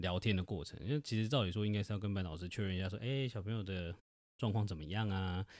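In a very clean recording with a silent background, a man speaks very fast at a fairly low pitch with ordinary pitch variation. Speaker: podcast host, father. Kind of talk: casual chat. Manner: animated.

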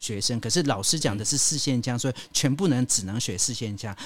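Speaking at a moderate pace, a man uses a plain, everyday voice at a medium pitch with lively intonation. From Taiwan, Hakka community. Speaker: radio host and travel writer. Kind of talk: casual chat.

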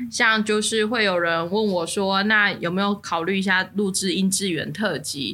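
A woman's bright, sharp voice at medium pitch, fairly slow in pace, in a very clean recording with a silent background. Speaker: podcast co-host. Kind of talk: casual chat. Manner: animated.

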